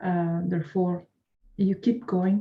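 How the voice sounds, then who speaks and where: A woman's somewhat breathy, dark, mellow voice at a medium pitch, with a non-native accent and a fairly slow pace. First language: not English. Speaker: course student. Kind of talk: interview. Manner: halting.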